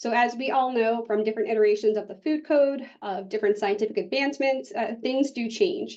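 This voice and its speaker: A woman speaks fairly quickly in an American accent. Her pitch is fairly high, with ordinary pitch variation. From US Northeast, Boston area. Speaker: public health specialist. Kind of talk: conference presentation.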